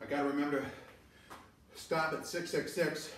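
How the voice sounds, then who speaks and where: Amid audible room echo and light background noise, a man talks at a moderate pace with monotone, flat intonation. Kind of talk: casual self-talk during workout. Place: garage. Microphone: camera far.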